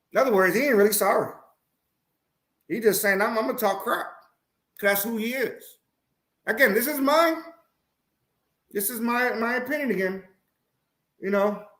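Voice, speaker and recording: At a moderate pace with long, frequent pauses, a man speaks in a high voice with ordinary pitch variation, and audible room echo surrounds him. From Puerto Rico. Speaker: sports talk show host. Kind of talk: live-stream sports talk. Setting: live stream. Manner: halting, tongue-tied.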